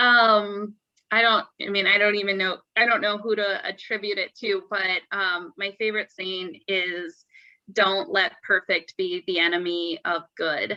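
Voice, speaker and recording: A woman with an American accent speaks at a fairly slow pace in a bright, sharp tone with ordinary pitch variation, her voice sounding dry and close with no echo. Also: medium pitch for a woman. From Phoenix, Arizona. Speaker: panelist, former teacher. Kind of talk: panel discussion.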